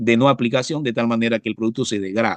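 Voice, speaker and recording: Little can be heard behind the voice, as the background is quiet. No echo colors the sound, which stays dry and close. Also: man. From Panama, Coclé province (La Pintada). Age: 60s. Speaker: professor and biologist, pesticide specialist. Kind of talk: interview. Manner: halting, frequent fillers and repetitions.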